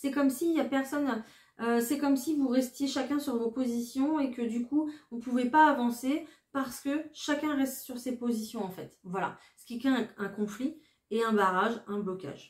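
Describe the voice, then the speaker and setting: A woman speaks at a high pitch and a moderate pace with ordinary pitch variation. Her loudness swings widely. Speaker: tarot card reader. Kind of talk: tarot reading. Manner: hesitant, many fillers.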